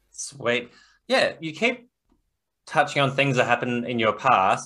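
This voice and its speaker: A man with an Australian accent, medium pitch, bright and sharp in tone, on a very clean recording with a silent background. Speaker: podcast host and author. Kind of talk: casual interview.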